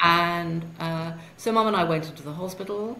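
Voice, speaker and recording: Over noticeable background noise, a woman with a fairly low pitch talks at a fairly slow pace. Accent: British. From UK. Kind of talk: interview answer.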